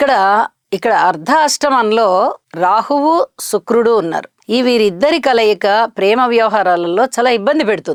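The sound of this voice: Close and dry with no echo, a woman of medium pitch speaks with lively intonation at a moderate pace.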